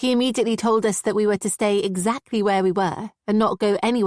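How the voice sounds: The speaker uses a natural reading voice with fairly even intonation against a quiet background.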